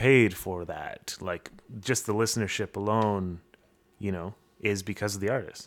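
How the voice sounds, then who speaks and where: A man speaks in a plain, everyday voice with a Canadian accent, at a fairly low pitch and moderate pace. His intonation is fairly even, and the recording is very clean with a silent background. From Canada, Windsor area (Ontario). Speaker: podcast host and musician. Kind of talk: casual chat.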